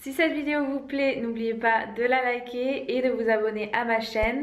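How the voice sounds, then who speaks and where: With audible room echo, a woman speaks at a fairly slow pace in a high pitch, her intonation fairly even. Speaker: vegan wellness vlogger. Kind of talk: casual vlog chat. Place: home room. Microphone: phone near.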